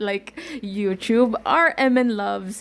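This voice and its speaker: With a Filipino accent, a woman speaks in an animated tone at a fairly high pitch. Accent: Filipino-accented English, called wonky. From Visayas, Philippines. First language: Bisaya (Cebuano). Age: 20s. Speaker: podcaster and YouTuber. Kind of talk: casual chat, code-switching English and Tagalog.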